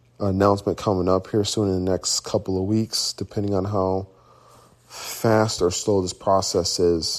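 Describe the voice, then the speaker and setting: Speaking at a fairly slow pace, a man uses an ordinary speaking voice pitched fairly low. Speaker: podcast host and business owner. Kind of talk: casual solo monologue.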